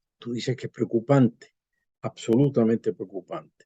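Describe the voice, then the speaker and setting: A man's voice with a dark, mellow tone comes through in a dry, close sound with no echo. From Venezuela. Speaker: constitutional law professor. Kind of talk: interview.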